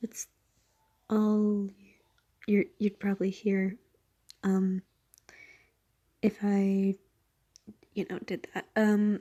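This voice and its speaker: A soft-spoken woman talks at medium pitch with a dark, mellow tone and monotone, flat intonation, at a very slow pace with long, frequent pauses, in a dry, close sound with no echo. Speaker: fanfiction reader. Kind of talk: casual chat. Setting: at home at night. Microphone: quiet, poor audio quality.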